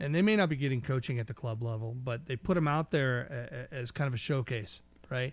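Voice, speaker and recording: A man with an American accent and a plain, everyday voice speaks at a fairly quick pace, his fairly high pitch showing ordinary variation. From California foothills. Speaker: podcast co-host. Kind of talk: casual chat.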